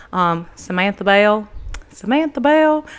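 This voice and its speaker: Her American accent clear, a woman of medium pitch speaks with very wide pitch swings. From US South, Tyler, Texas. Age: 20s. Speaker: podcast host and entrepreneur. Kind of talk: casual solo podcast monologue. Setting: holding a handheld microphone. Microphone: handheld mic held close to her face.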